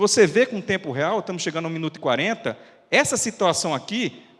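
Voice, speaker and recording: Here a man speaks with lively intonation. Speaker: fire safety researcher and firefighter officer. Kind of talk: lecture. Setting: auditorium with audience. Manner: fast.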